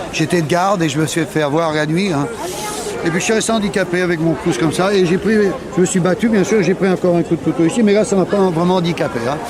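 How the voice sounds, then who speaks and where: A man speaks at a very fast pace in a high pitch. Audible room echo and crowd noise fill the background. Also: ordinary pitch variation, very even loudness. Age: 60s. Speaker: war veteran. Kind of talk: testimony. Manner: halting.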